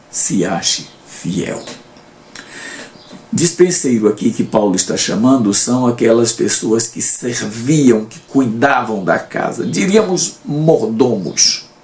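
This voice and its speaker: Over noticeable background noise, a man talks very slowly in a medium-pitched voice with lively intonation and big swings in loudness. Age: 70s. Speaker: Bible teacher. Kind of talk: Bible study lesson commentary.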